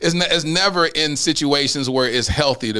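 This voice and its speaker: Against noticeable background noise, a man with a fairly high pitch and ordinary pitch variation talks at a fairly quick pace. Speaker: podcast host. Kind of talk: casual chat. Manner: loud.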